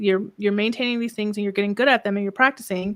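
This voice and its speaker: Her voice has a bright, sharp tone and a calm delivery with monotone, flat intonation. The recording is very clean, with a silent background. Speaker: business mentor. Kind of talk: interview. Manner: projecting more than usual.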